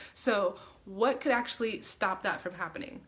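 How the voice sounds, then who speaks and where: Noticeable background noise is heard as a woman talks with an American accent. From Queens, New York. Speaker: mindset and business coach. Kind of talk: casual livestream talk to camera. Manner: energetic, motivational.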